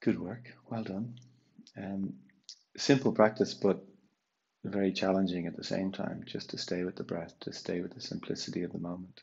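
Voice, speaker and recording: A man speaks in a very deep, low voice with ordinary pitch variation, a calm, soothing tone, and long, frequent pauses. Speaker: yoga and meditation teacher; meditation teacher. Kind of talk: guided meditation. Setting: online live session. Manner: slow, calm, soothing, with long pauses between cues. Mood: calm, soft, slow. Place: home room. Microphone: camera far.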